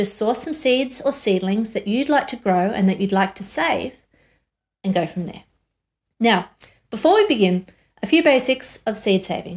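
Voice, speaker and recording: A woman with lively intonation talks at a moderate pace, the background quiet. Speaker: course teacher. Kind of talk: tutorial. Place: studio.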